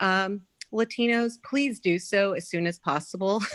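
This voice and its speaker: The delivery is fairly slow, with ordinary pitch variation. The sound is dry and close, with no echo. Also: woman. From Latin American heritage. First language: Spanish. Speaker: party volunteer. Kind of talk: meeting request. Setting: video call.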